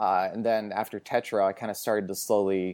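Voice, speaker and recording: With an American accent, a man talks in a dark, mellow, fairly low voice with monotone, flat intonation on a very clean recording with a silent background. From US Pacific Northwest, Portland, Oregon. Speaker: film writer and podcaster. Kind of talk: casual chat.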